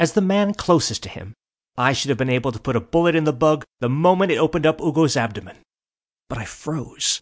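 Against a quiet background, a man uses an ordinary speaking voice with fairly high pitch. He talks at a fairly quick pace with lively intonation. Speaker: audiobook narrator. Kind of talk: audiobook fiction narration, comic eulogy read in character. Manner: mock-solemn, formal.

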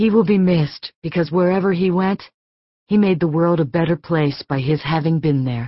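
A woman with a plain, everyday voice talks at a moderate pace in a fairly low pitch with ordinary pitch variation. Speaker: audiobook narrator. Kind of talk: audiobook narration, first-person fiction. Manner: measured, expressive, emotionally restrained; warm storytelling pace.

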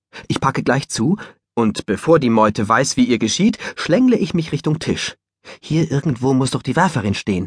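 A man's animated voice at a medium pitch and moderate pace, with very wide pitch swings and a dry, close sound with no echo. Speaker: audiobook narrator. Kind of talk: audiobook narration, first-person dog's perspective.

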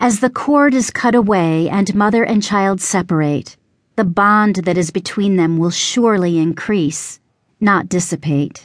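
Against a quiet background, a woman with a plain, everyday voice speaks at a fairly slow pace, medium in pitch with ordinary pitch variation. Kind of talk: poetry reading, rhyming spoken word piece. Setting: audiobook recording. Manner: rhythmic, measured, reverent.

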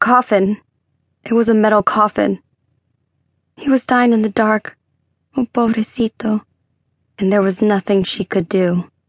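Somewhat breathy and fairly high in pitch, a woman speaks with fairly even intonation and long, frequent pauses. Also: moderate pace. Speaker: audiobook narrator. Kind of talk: dramatic audiobook narration of a thriller, with character voices.

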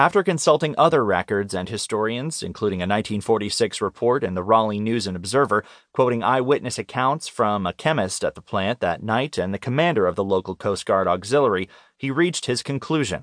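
An unremarkable speaking voice from a man, medium pitch, lively intonation, fairly quick pace, dry and close with no echo, quiet background. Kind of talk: audiobook narration of nonfiction magazine article. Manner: even, measured, formal; clear, steady documentary-style delivery.

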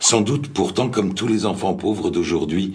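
A man speaks with lively intonation and a solemn tone. Noticeable background noise runs underneath. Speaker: memoir reader. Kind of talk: reading aloud a memoir. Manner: slow, solemn, reflective.

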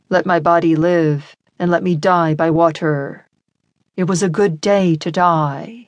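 A woman with a normal speaking voice talks at a fairly slow pace. Her pitch is fairly low and her intonation fairly even. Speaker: audiobook narrator. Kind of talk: dramatic audiobook narration, first-person historical fiction. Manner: vivid, intense, building tension in the surf scenes; lyrical and tender in the love scene.

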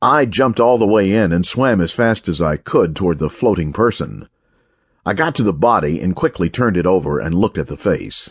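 Lively intonation and a fairly quick pace mark a normal speaking voice against a quiet background. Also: man, fairly low pitch for a man. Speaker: audiobook narrator. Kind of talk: dramatic audiobook narration of crime fiction. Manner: shifts between narrator and quoted character voices.

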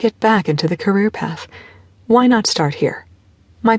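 This is an unforced reading voice. It reads the text aloud.

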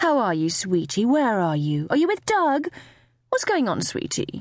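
In a very clean recording with a silent background, a woman does a put-on character voice at a fairly high pitch and fairly slow pace, with very wide pitch swings.

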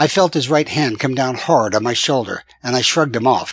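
This is reading aloud in a natural voice. Pitch variation is ordinary.

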